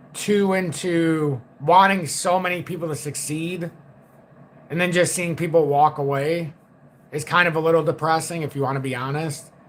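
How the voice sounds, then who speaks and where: A man speaks at a moderate pace. His fairly high voice has fairly even intonation. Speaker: crypto trading educator. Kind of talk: livestream market commentary. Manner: quiet, low-key; flat, unemotional.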